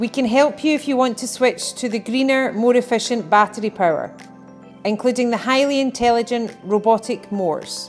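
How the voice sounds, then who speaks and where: A woman at a fairly high pitch and moderate pace, with ordinary pitch variation and music in the background. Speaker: business promotional narrator. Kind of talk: corporate promotional narration.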